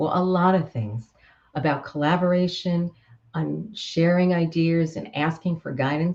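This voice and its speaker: The voice has a dark, mellow tone and sounds somewhat breathy, with an American accent. It moves at a fairly slow pace. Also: woman. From Queens, New York. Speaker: author and communication coach. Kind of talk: author presentation to camera. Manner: upbeat, humorous.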